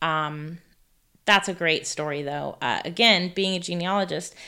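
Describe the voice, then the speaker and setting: The voice has a bright, sharp tone and an American accent, with fairly even intonation on a very clean recording against a silent background. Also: woman. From California. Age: 40s. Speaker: author. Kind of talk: interview.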